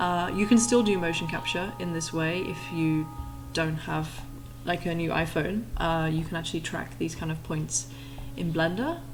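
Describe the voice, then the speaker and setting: In a room with audible echo and noticeable background noise, a woman speaks in a relaxed tone. Her fairly low voice keeps a fairly even intonation. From Yorkshire, northern England. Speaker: 3D artist and streamer. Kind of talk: tutorial livestream. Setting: live stream. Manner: slow, relaxed.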